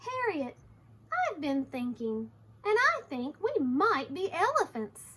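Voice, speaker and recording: A woman's put-on character voice at an extremely high pitch, with very wide pitch swings. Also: fairly slow pace. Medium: read story. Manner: earnest, enthusiastic.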